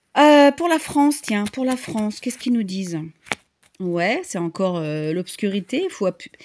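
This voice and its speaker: A woman's medium-pitched voice at a moderate pace, dry and close with no echo. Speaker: tarot reader and medium. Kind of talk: tarot reading monologue. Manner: halting, many fillers.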